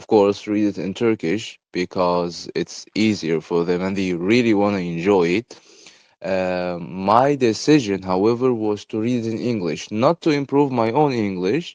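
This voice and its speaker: A man with an Arabic accent speaks at a fairly slow pace in a fairly low pitch, with ordinary pitch variation, a quiet background and a dry, close sound with no echo. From Egypt. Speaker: podcaster. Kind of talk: casual monologue. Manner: hesitant, many fillers.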